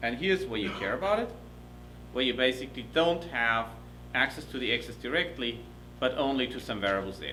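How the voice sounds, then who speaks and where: A man speaks with a German accent, leaving long, frequent pauses. Audible room echo surrounds his voice. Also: fairly quick pace. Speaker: professor. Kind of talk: lecture. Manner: fast.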